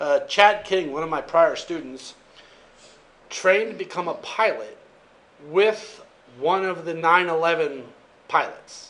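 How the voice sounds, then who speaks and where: Audible room echo is heard on this clip. A man speaks with ordinary pitch variation. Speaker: college instructor. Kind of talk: lecture. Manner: fast; casual.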